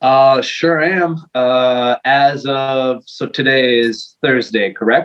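Spoken at a very slow pace with hardly any pauses, the voice has ordinary pitch variation and a Quebec accent. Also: man, medium pitch for a man. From Quebec, Montreal. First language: French. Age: 40s. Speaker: metal vocalist. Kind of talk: casual interview. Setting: video call.

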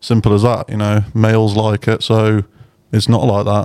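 A man's fairly low, dark, mellow voice in an East Midlands accent. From Burton, near Derby. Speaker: musician. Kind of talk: casual chat.

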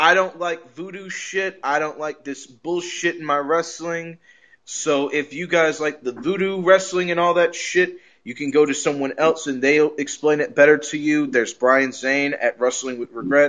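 Using an ordinary speaking voice, a man talks at a moderate pace with fairly high pitch and ordinary pitch variation. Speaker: wrestling podcast host. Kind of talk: casual chat.

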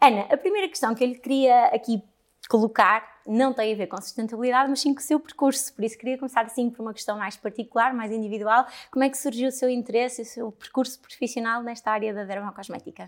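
Talking at a very fast pace, a woman has a high pitch, ordinary pitch variation and big swings in loudness. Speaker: podcast host, cosmetics trainer. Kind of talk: interview.

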